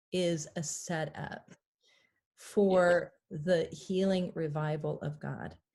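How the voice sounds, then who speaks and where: Somewhat breathy and dark, mellow in tone, a woman speaks at a fairly low pitch and a very slow pace with fairly even intonation. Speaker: pastor. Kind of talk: interview conversation.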